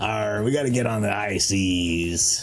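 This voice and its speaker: A man's put-on character voice, very deep and low in pitch, at a fairly slow pace over clear background noise. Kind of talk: pirate speech.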